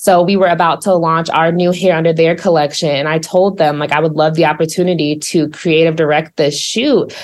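Noticeable background noise sits behind a woman with an American accent who talks at a fairly quick pace with hardly any pauses and fairly even intonation. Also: fairly low pitch for a woman, very even loudness. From Missouri. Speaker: social media manager. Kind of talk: interview.

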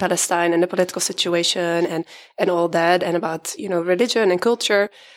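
A woman speaks at a medium pitch with a Dutch accent. Her intonation stays fairly even. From Netherlands. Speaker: consultant. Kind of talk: casual chat.

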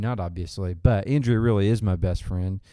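A man's fairly low, dark, mellow voice with a Southern US accent, ordinary pitch variation and a moderate pace, in a very clean recording with a silent background. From Arkansas. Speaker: church outreach minister. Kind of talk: casual interview. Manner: halting, with fillers.

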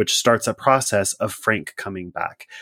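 A man with an American accent talks at a moderate pace in an ordinary speaking voice, fairly low in pitch. His intonation is fairly even, and the sound is dry and close with no echo. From US Pacific Northwest. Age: 40s. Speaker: podcast host. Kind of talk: casual chat. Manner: casual, laughs often.

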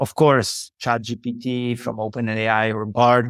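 The sound is dry and close with no echo as a man speaks at a fairly slow pace. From Poland. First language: Polish. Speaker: tech company CEO. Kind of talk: interview. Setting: remote call.

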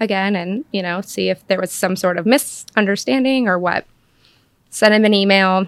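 A woman with a plain, everyday voice and an American accent speaks at medium pitch and a moderate pace, with ordinary pitch variation, on a very clean recording with a silent background. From Western North Carolina (Cashiers). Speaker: real estate agent and interior designer. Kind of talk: casual chat.

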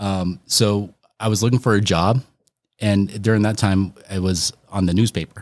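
A man with an American accent has a plain, everyday voice, fairly low in pitch, with fairly even intonation. The recording is very clean, with a silent background. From Colorado, Northeast Aurora. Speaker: realtor. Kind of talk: casual chat.

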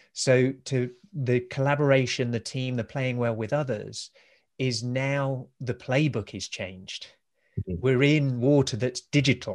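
A man talks at a fairly slow pace with fairly even intonation and medium pitch. He has a plain, everyday voice. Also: quiet background. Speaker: podcast host. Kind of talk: interview conversation.

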